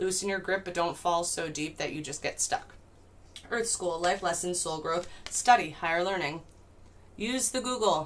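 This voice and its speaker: A woman speaks at a fairly low pitch with ordinary pitch variation. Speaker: tarot reader. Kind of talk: live stream tarot reading. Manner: fast; casual, profane.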